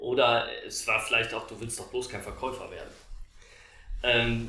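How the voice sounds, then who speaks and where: A man's voice carries audible room echo. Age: 40s. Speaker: sales director in house building. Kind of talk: interview. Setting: in person recording at Lake Constance.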